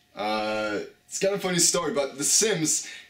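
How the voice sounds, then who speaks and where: A man speaks at a medium pitch with lively intonation. Audible room echo and noticeable background noise surround his voice. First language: French. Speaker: YouTuber. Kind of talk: casual chat.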